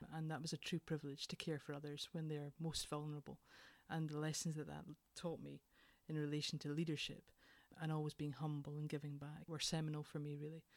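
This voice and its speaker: With a Scottish accent, a woman talks at a fairly quick pace in a very deep, low pitch. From Scotland, Edinburgh. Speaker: leadership consultant, former nurse. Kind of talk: interview.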